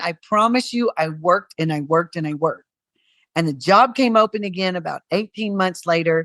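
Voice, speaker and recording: Here is a woman with an ordinary speaking voice and lively intonation. Her pace is moderate, and the sound is dry and close with no echo. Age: 60s. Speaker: cruise line executive. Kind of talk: interview. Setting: podcast.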